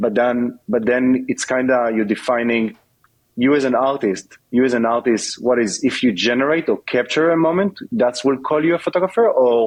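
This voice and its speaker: A man talks at a medium pitch and a moderate pace. His pitch variation is ordinary and his loudness very even. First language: not English. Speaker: tech company executive. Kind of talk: podcast interview. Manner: halting, many fillers.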